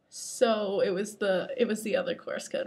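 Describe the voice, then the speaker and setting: Using a put-on character voice, a woman speaks raspily at a fairly high pitch and a moderate pace. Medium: solo performance. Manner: dry, questioning.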